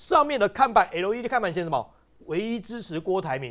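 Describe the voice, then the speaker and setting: This man has a high voice and talks at a very fast pace. His pitch swings very widely. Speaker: political commentator. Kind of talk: panel discussion. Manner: animated.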